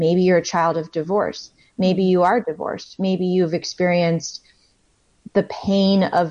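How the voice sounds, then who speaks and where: A woman has a plain, everyday voice. She talks at a fairly slow pace with fairly even intonation. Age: 30s. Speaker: author. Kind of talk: interview.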